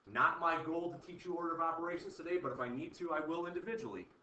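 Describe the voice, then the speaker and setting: In a room with audible echo, a man talks at a very fast pace in a high pitch. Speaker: chemistry teacher. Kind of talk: classroom lecture.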